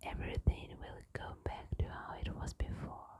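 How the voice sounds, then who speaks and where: A woman whispers at a very slow pace. Noticeable background noise runs beneath her. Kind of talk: bedtime story reading. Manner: whispered.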